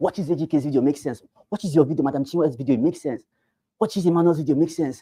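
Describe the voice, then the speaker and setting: This man speaks at a very fast pace with a Nigerian accent. His voice is fairly high in pitch with a dark, mellow tone. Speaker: real estate sales trainer. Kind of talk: training session. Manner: animated.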